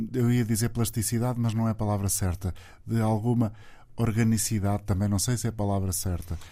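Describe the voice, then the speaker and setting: A man speaks with a fairly low pitch and a dark, mellow tone. His pace is fairly quick, his intonation monotone and flat. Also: very even loudness. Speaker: radio host. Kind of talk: radio interview.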